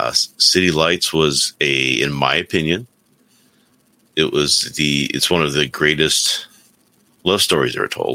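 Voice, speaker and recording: In a very deep, low pitch with vocal fry and a bright, sharp tone, a man speaks with long, frequent pauses. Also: ordinary pitch variation. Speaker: remote co-host. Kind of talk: casual chat. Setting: video call.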